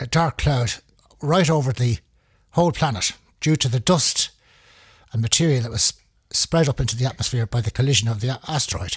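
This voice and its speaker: A man speaks at a moderate pace and medium pitch with a Dublin accent, his intonation lively and his voice somewhat breathy. The recording is very clean, with a silent background. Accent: Irish (Dublin). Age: 70s. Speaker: amateur paleoanthropology enthusiast. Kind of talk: informal talk. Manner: halting.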